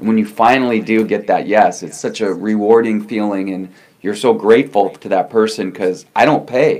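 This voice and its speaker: A man with a fairly low pitch talks at a moderate pace in a normal speaking voice. His intonation is fairly even. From Newfoundland, born in California. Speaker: TV interview host. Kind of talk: interview, casual chat. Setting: video call.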